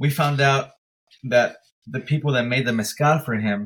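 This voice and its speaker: Here a man speaks with a medium pitch and ordinary pitch variation. His voice is somewhat breathy. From Mexico, then San Diego from sixth grade. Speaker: teacher and mezcal brand founder. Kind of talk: casual interview.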